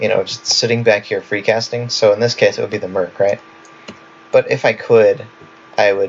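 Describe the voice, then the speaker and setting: A man talks at a moderate pace, leaving long, frequent pauses, while noticeable background noise runs behind him. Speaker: gaming video creator. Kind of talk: tutorial. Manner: casual, filler-heavy.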